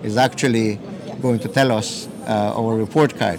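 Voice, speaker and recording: A man speaks at a medium pitch with fairly even intonation and a moderate pace. Noticeable background noise and audible room echo surround him. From southern Belize, Maya community. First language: Q'eqchi' Maya. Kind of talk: interview. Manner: halting.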